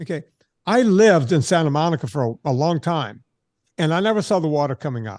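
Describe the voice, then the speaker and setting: Against a quiet background, a man with an unremarkable speaking voice talks at a fairly high pitch and a fairly quick pace with lively intonation. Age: 60s. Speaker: fitness trainer. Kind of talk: interview.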